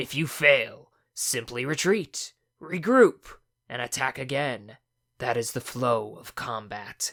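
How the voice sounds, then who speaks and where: A raspy put-on character voice from a man, at a fairly slow pace with ordinary pitch variation. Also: medium pitch for a man. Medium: read story. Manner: lilting.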